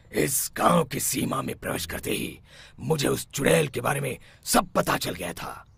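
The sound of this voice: A man performs a cartoonish character voice that is raspy, at a medium pitch. He speaks at a moderate pace.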